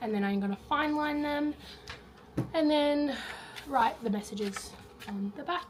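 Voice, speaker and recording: Over noticeable background noise, a woman with an Australian accent speaks with ordinary pitch variation. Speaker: teacher. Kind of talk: casual vlog talk to camera.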